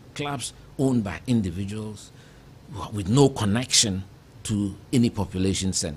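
Somewhat breathy speech moves at a moderate pace with ordinary pitch variation. Long, frequent pauses break it up over light background noise. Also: man, fairly low pitch for a man. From Ghana, Kumasi; Ghana. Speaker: politician and civil engineer; politician. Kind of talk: interview. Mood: reflective, earnest. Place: studio. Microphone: studio mic.

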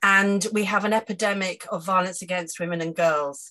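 A woman talks at a fairly slow pace in a bright, sharp tone. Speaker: audience member, political candidate. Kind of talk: question from audience. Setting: video call.

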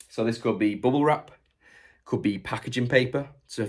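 A man's speech carries ordinary pitch variation over a quiet background. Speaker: online reseller. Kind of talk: tutorial. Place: workshop. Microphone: phone near.

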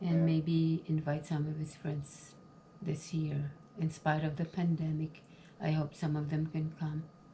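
A woman talks very slowly while loud background noise fills the recording. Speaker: home baker vlogger. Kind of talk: casual vlog chat. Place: kitchen. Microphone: phone near.

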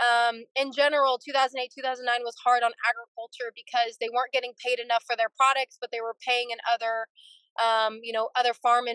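A woman with an American accent speaks at a moderate pace in a high, monotone voice with flat intonation, the sound dry with no echo against a quiet background. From California, Fresno area. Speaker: dairy farmer. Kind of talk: interview. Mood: earnest, concerned. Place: car. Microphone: video call.

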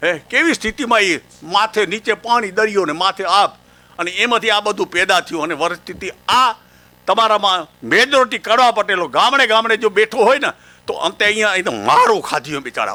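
With a bright, sharp tone and lively intonation, a high-pitched man raises and projects his voice. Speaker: farmer leader. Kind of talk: public speech. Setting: stage with audience.

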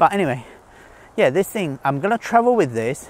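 A man speaks at a fairly high pitch, swinging widely up and down. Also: fairly quick pace.

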